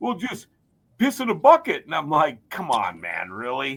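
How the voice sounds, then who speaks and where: With an American accent and vocal fry, a man speaks in very wide pitch swings. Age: 50s. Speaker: race and hockey announcer, podcast host. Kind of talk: casual chat. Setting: studio.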